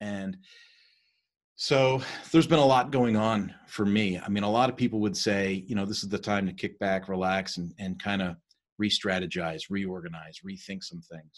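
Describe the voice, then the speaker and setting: An unremarkable speaking voice from a man, fairly low in pitch, with ordinary pitch variation, a moderate pace and a quiet background. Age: 50s. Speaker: leadership coach. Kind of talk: lecture. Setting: video call.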